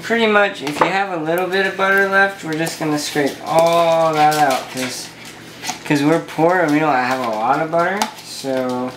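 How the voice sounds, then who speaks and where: Noticeable background noise under speech at a moderate pace. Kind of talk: casual cooking tutorial chat. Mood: jokey, self-deprecating. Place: kitchen. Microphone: phone near.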